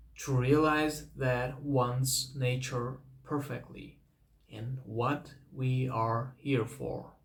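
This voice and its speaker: With a non-native accent and a medium pitch, a man speaks very slowly in a flat monotone with a somewhat breathy voice, and room echo is audible. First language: not English. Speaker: vlogger. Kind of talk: personal advice talk. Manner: halting, repeats words.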